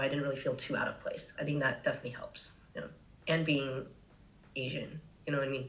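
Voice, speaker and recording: A woman speaks with an American accent, her pitch very deep and low. Audible room echo surrounds her voice. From US, California Bay Area. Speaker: travel content creator. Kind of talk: casual podcast interview. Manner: casual, filler-heavy.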